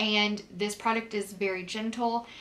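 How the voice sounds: Speaking at a fairly slow pace, a woman uses a bright, sharp tone and fairly even intonation.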